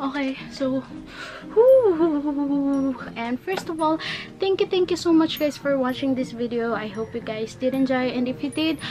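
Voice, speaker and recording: With music in the background, a high-pitched woman with a Filipino accent speaks fairly slowly and with ordinary pitch variation. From Philippines. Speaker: YouTuber. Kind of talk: tutorial. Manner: halting.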